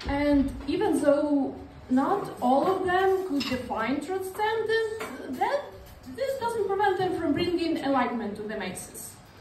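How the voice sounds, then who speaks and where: In an Eastern European accent, a woman speaks fairly slowly in an extremely high voice with very wide pitch swings, with audible room echo and light background noise. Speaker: stand-up comedian. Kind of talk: stand-up comedy; stand-up comedy routine. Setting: stage with audience. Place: stage. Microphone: handheld.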